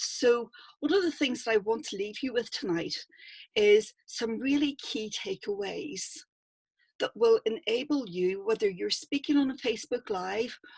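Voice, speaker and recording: A woman with a Northern Irish accent speaks at a fairly slow pace, her fairly high pitch carried on lively intonation in a dry, close sound with no echo. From Northern Ireland. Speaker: public speaking coach. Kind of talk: online workshop talk.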